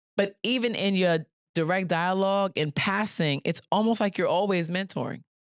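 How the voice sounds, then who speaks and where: This woman talks at a moderate pace and medium pitch, in a Bronx accent with ordinary pitch variation and very even loudness. The sound is dry and close with no echo, over a quiet background. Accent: New York, Bronx. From New York City, the Bronx. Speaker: podcast host. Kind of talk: interview conversation.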